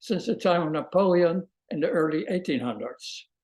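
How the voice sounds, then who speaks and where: A man with a Dutch accent speaks at a moderate pace. His voice sits high for a man, with ordinary pitch variation. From Netherlands, The Hague. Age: 80s+. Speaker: Holocaust survivor, retired music professor. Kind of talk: testimony. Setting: video call.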